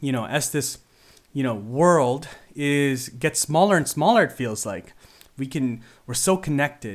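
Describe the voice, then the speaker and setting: In a normal speaking voice, a man with a Canadian accent talks at a fairly slow pace with a fairly high pitch and lively intonation. The recording is very clean, with a silent background. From Philippines until age ten, then Canada. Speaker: podcast host. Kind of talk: solo podcast monologue. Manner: casual with frequent fillers.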